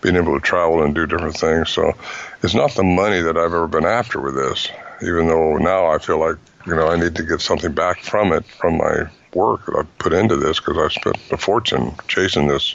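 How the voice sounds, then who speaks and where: A man talks at a fairly quick pace with very even loudness. Noticeable background noise runs behind him. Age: 70s. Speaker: Bigfoot researcher and author. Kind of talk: interview. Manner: halting, many fillers.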